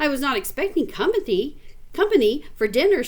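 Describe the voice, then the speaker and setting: In a put-on character voice, a woman talks fairly quickly and loudly, projecting her high-pitched voice with very wide swings in pitch. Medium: read story.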